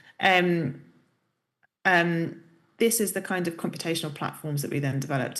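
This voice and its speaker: A woman speaks with ordinary pitch variation, her voice carrying audible room echo. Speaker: professor. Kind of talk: lecture.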